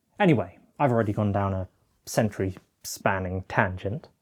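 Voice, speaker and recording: In a British accent, the speaker talks at a fairly slow pace on a very clean recording with a silent background. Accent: British accent, noticeable. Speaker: film video essayist, collector. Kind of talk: scripted video essay narration. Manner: formal, measured.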